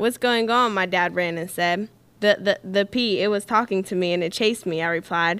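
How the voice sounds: A natural reading voice, ordinary pitch variation throughout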